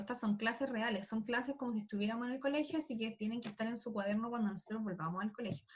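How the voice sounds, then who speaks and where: A woman with a fairly high pitch. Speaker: school physics teacher. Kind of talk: online class lecture. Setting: video call. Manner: fast.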